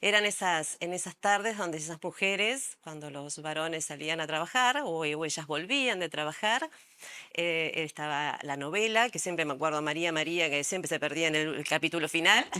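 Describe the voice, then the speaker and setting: Speaking in a Rioplatense accent, a woman has a fairly low pitch and a bright, sharp tone. Her pace is moderate, with ordinary pitch variation. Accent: Rioplatense Spanish (porteño). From Argentina, Buenos Aires. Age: 60s. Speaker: psychologist and art therapist. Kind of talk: interview. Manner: hesitant, many fillers.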